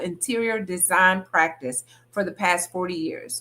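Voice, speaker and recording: A woman with vocal fry and an animated tone speaks fairly slowly, her pitch swinging very widely. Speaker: podcast host. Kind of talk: podcast interview. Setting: virtual video call.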